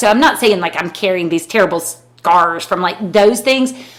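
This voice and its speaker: A woman speaks with an American accent. She keeps a moderate pace and ordinary pitch variation. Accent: Southern US, thick growing up, noticed still. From US South, rural North Carolina. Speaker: podcast co-host, lawyer. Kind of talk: casual chat. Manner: halting.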